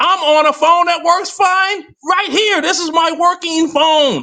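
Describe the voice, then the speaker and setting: An animated, bright and sharp voice, raised and projected, at a fairly slow pace. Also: man. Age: 60s. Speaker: live stream guest. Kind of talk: casual chat.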